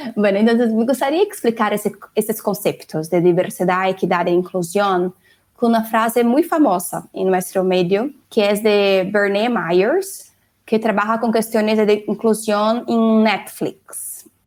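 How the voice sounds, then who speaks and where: With a Brazilian accent, a woman talks at a fairly slow pace and a fairly high pitch. Her pitch varies in an ordinary way, and her loudness stays very even. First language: Portuguese (speaking Spanish). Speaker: diversity and inclusion executive. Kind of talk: interview.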